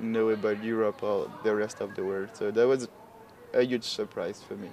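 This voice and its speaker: A man with a French accent speaks at a medium pitch and a moderate pace, with noticeable background noise. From France. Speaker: international student. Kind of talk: interview.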